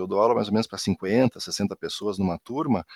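Dry and close with no echo, a man talks at a fairly quick pace on a very clean recording with a silent background. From Rio Grande do Sul, southern Brazil. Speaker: university professor. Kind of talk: casual interview.

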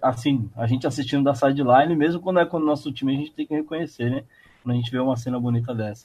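The speaker is a man with a Brazilian accent. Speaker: podcast host. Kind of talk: casual sports chat.

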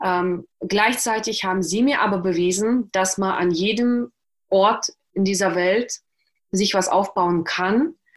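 Over a quiet background, a woman speaks at a very slow pace in a medium pitch with ordinary pitch variation. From Russia (Karelia), moved to Germany at 11. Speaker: author and journalist. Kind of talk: interview, personal life story. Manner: hesitant, many fillers.

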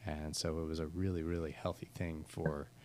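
A man with an American accent, very deep and low in pitch, at a moderate pace. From US, Pittsburgh. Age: 30s. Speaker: church planter and schoolteacher. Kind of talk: casual interview. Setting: office space with construction noise.

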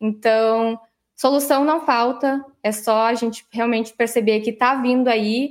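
Speaking in a normal speaking voice at a fairly slow pace, a woman with a fairly high pitch keeps her intonation fairly even and her loudness very even. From Santa Maria, Rio Grande do Sul, Brazil. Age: 30s. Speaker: startup CEO. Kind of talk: interview. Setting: video call.

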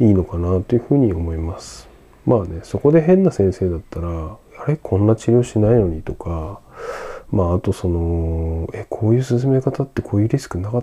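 A man's fairly low voice, with lively intonation, at a fairly quick pace. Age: 30s. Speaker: podcast host. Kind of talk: solo podcast monologue. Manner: casual, many fillers.

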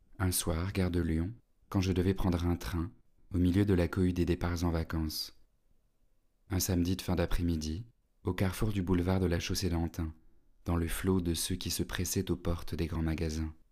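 A man speaks in a very deep, low voice with a dark, mellow tone and monotone, flat intonation. His moderate pace is broken by long, frequent pauses on a very clean recording with a silent background. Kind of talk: literary audiobook reading, first-person narration.

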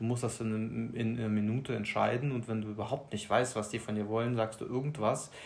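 Somewhat breathy and at a medium pitch, a man talks at a fairly quick pace with monotone, flat intonation. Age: 30s. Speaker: new father. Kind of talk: casual interview. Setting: sitting next to host. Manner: halting.

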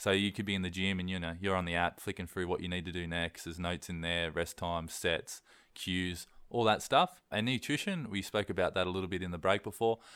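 With an Australian accent, a man speaks at a fairly quick pace in a very deep, low pitch, his intonation fairly even, on a very clean recording with a silent background. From east coast Australia. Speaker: online personal trainer. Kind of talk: casual interview.

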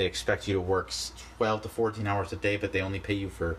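A man with a Canadian accent and a fairly low pitch. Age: 20s. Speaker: podcast host. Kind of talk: solo vlog-style monologue. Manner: halting, many fillers and restarts.

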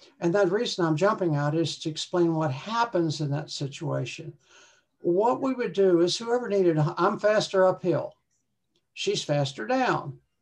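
A woman with an ordinary speaking voice moves at a moderate pace, her intonation lively. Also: fairly low pitch for a woman. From West Virginia, US. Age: 60s. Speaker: retired hiker. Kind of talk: casual interview chat.

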